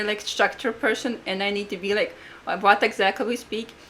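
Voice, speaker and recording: A woman is speaking. She has a Latvian accent. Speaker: podcast co-host, astrologer and life coach. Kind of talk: casual podcast chat.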